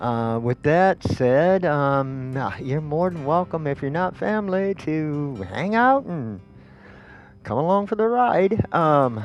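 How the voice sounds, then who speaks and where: A man at a very slow pace with very wide pitch swings, music in the background. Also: fairly high pitch for a man. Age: old. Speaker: gaming video creator. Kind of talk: casual gameplay commentary. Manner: hesitant, many fillers.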